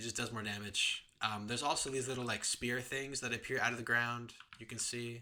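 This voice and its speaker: A bright, sharp tone at a fairly quick pace, in a flat, monotone delivery. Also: man, medium pitch for a man. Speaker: gaming content creator. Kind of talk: tutorial. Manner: fast; halting, many fillers and restarts.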